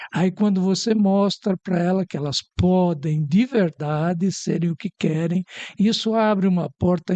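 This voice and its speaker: Heard dry and close with no echo, a man with a high pitch and a dark, mellow tone speaks at a fairly slow pace with fairly even intonation. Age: 70s. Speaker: psychologist. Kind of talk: talk show interview.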